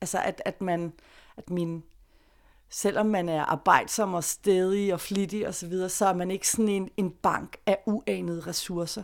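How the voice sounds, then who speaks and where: An unremarkable speaking voice from a woman, fairly slow in pace, with fairly even intonation. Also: medium pitch for a woman, very clean recording, silent background. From Denmark, Greve south of Copenhagen. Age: 40s. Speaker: freelance journalist. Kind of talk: interview storytelling.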